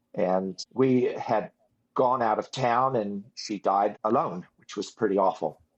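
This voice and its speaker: In a normal speaking voice, a man with a fairly low pitch talks fairly slowly with ordinary pitch variation. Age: 60s. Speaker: ex-religious movement survivor. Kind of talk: interview testimony.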